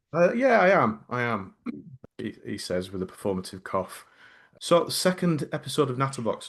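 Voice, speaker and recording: At a moderate pace, a man with a medium pitch and vocal fry speaks with very wide pitch swings. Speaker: podcast co-host. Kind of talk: casual chat.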